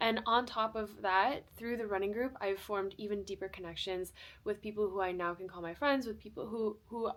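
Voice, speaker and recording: Speaking at a fairly quick pace, a woman with an American accent uses a medium pitch and ordinary pitch variation. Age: 20s. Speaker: lifestyle vlogger. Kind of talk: casual vlog talk to camera. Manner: fast; animated.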